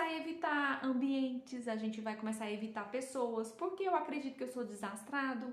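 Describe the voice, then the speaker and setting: A woman with a Goiás accent talks at a moderate pace with lively intonation and a high pitch. Audible room echo surrounds her voice. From Brazil, Goiás. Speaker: self-development speaker. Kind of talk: talk to viewers. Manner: hesitant, many fillers.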